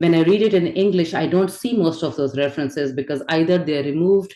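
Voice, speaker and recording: In a Pakistani accent, a woman with a very deep, low voice speaks at a fairly quick pace with ordinary pitch variation. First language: Urdu. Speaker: spirituality and poetry teacher. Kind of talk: lecture.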